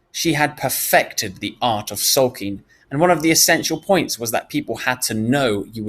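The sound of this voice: The reading voice is unforced, and the intonation stays lively.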